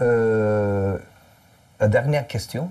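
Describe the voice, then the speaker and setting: This is a man speaking. He has a Turkish accent. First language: Turkish (speaking French). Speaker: musician and interviewer. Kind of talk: interview. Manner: halting.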